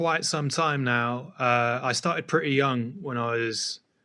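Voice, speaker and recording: A man in a southern English accent speaks fairly slowly with a bright, sharp tone, in a very clean recording with a silent background. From England, just outside London. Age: 30s. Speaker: DJ, producer, turntablist. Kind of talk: casual interview chat.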